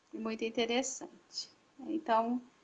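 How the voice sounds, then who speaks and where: This woman has a fairly high pitch. She speaks at a fairly slow pace. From Paraná, southern Brazil. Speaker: religious sister. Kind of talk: vocational testimony. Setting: online live stream.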